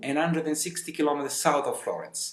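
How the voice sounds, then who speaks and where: A man with an Italian accent speaks at a high pitch. Noticeable background noise and audible room echo fill the recording. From Italy, Sicily. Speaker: tour guide. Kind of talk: casual interview.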